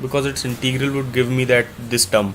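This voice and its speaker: At a moderate pace and medium pitch, a man with an Indian accent talks over noticeable background noise. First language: Hindi. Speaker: math tutor. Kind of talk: live problem-solving tutorial.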